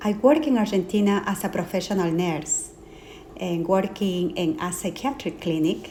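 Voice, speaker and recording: A woman's fairly low voice in a Peruvian accent, fairly slow, with audible room echo. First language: Spanish. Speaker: life and trauma coach. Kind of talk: interview. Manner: hesitant with fillers.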